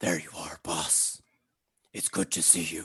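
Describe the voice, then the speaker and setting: Raspy and fairly slow, this put-on character voice drags along. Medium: actual play. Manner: affectionate, simple, terse.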